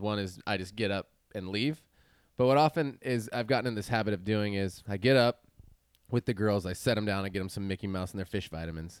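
A man speaks at a fairly quick pace in a plain, everyday voice, fairly low with ordinary pitch variation. The recording is very clean, with a silent background and a dry, close sound with no echo. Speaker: podcast co-host. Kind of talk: casual chat. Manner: casual, upbeat.

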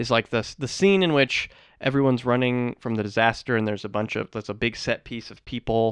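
Recorded dry and close with no echo and a quiet background, a man with an ordinary speaking voice talks fairly quickly at medium pitch with ordinary pitch variation. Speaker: co-host. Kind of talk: casual comedic chat about a movie. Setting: recording studio.

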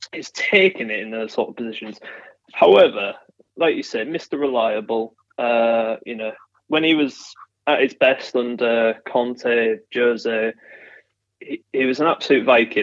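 A man with a Yorkshire accent speaks at a fairly slow pace and medium pitch, with ordinary pitch variation, big swings in loudness, and long, frequent pauses. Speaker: football fan guest. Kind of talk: casual chat.

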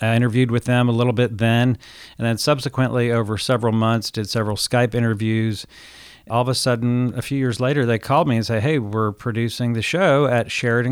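A man talks in a normal speaking voice at a medium pitch. His pace is fairly quick and his intonation fairly even. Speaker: entrepreneur and author. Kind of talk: interview.

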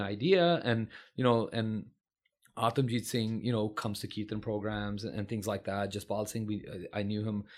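In a Californian accent, a man speaks at a fairly low pitch with fairly even intonation, recorded very cleanly against a silent background. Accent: American (Californian). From California, San Francisco Bay Area. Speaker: physician. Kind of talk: interview conversation.

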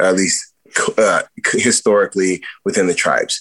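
A man with an American accent at a moderate pace. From US, San Diego, Southern California. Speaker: worship musician. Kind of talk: interview conversation.

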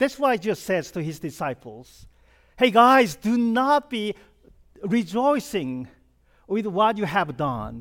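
On a very clean recording with a silent background, a man with a Korean accent speaks at a high pitch and fairly slow pace, using very wide pitch swings and long, frequent pauses. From South Korea. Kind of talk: sermon.

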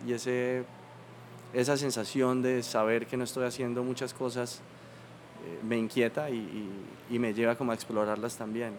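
At a moderate pace, a man speaks in a medium pitch with fairly even intonation, in a normal speaking voice. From Colombia, Bucaramanga. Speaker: painter. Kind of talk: interview conversation.

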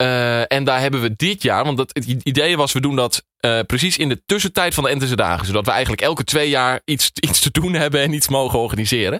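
A man at medium pitch speaks at a fairly quick pace with hardly any pauses and very even loudness. His tone is bright and sharp, his pitch varies in an ordinary way, and the sound is dry and close with no echo. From Twente, eastern Netherlands (Enter). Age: 20s. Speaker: radio producer. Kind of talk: interview. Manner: halting, with many fillers.

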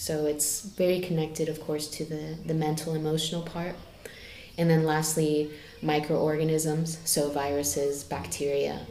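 A woman with an American accent speaks at a moderate pace in a very deep, low, monotone voice. Room echo is audible and background noise is noticeable. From United States. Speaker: health practitioner. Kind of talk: casual chat.

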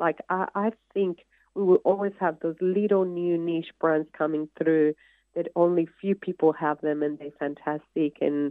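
A woman with an ordinary speaking voice, a fairly low pitch and a moderate pace. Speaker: creative director and retail executive. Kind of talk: casual interview.

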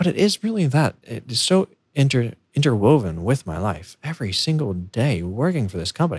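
Here a man speaks with an American accent at a fairly quick pace. His medium-pitched voice is somewhat breathy. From United States. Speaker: podcast host, software engineer. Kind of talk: solo podcast monologue. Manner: halting, self-correcting.

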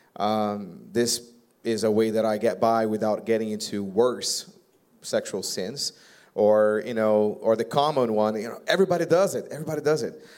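A man's medium-pitched voice in a Brazilian accent, at a moderate pace with ordinary pitch variation. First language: Portuguese. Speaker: pastor. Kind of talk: live church panel Q&A. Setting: church stage with audience. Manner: joking.

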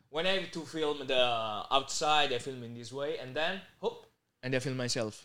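A fairly high-pitched man with an Italian accent, ordinary pitch variation and a moderate pace. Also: big swings in loudness. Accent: Italian-accented English, Bari. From Italy, Bari (Puglia). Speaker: content creator. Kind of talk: casual interview.

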